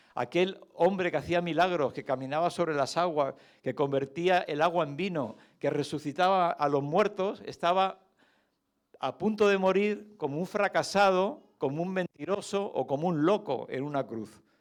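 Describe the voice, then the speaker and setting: A man speaks at a moderate pace with a high pitch and ordinary pitch variation. The recording is very clean, with a silent background. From Canary Islands, Spain. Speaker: lay preacher, retired doctor. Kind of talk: sermon. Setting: church service. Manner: conversational, with hesitations.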